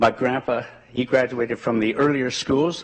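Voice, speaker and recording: Ordinary pitch variation at a moderate pace. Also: man. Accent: Ontario. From rural southwestern Ontario, Canada. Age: 80s+. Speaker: community member speaking at a school board meeting. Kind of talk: public address at a meeting. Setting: school board meeting with audience. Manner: earnest, with some halting repetitions.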